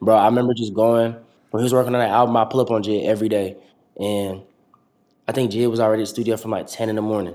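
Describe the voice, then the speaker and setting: Speaking very fast with long, frequent pauses, a man with an American accent uses a medium pitch, a dark, mellow tone and a monotone, flat intonation. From Atlanta, US South. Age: 20s. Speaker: rapper. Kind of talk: casual chat.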